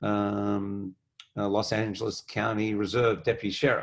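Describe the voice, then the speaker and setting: Monotone, flat delivery at a fairly slow pace on a very clean recording with a silent background. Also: man. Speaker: businessman and philanthropist. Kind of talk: panel discussion.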